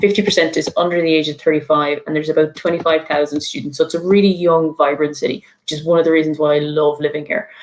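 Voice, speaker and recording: A woman with an Irish accent talks at a very fast pace in a very deep, low pitch, her tone enthusiastic. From Ireland, midlands. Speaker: university international student officer. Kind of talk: online presentation.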